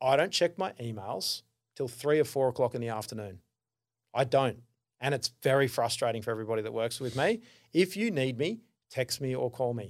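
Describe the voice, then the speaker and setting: A man with an Australian accent is heard on a very clean recording against a silent background. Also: medium pitch for a man, ordinary pitch variation, fairly quick pace. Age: 40s. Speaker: business founder and consultant. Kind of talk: casual interview chat.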